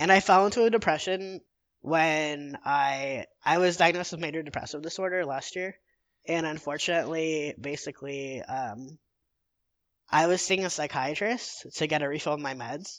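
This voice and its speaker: In a normal speaking voice, a man talks at a moderate pace with fairly high pitch and ordinary pitch variation. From Illinois, Chicago suburbs. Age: 20s. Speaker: mental health advocacy volunteer. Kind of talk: casual interview.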